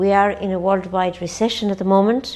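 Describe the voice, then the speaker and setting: Speaking at a moderate pace with a medium pitch, a woman with an Irish accent is heard over noticeable background noise. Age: 60s. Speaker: nun running a charity. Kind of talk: interview.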